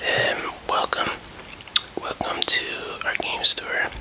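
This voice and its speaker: Someone whispers over noticeable background noise. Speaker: ASMR creator. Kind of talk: ASMR roleplay as a game store employee. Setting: ASMR recording with tapping and controller sounds. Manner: friendly, hesitant, with filler words.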